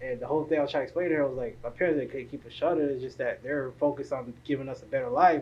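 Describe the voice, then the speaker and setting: With a South Florida accent, a man talks at a very fast pace and a fairly high pitch, with ordinary pitch variation and hardly any pauses. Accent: South Florida American English. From South Florida, Haitian family. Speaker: podcast host. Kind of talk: casual interview.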